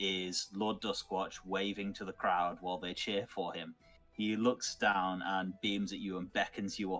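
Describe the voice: The text is plain reading aloud. The intonation stays fairly even.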